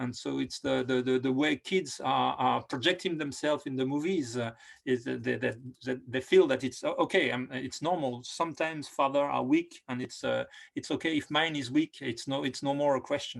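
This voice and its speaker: On a very clean recording with a silent background, a man with a French accent talks at a moderate pace, medium in pitch and fairly even in intonation. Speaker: film director. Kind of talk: interview. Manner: halting, many fillers and repetitions.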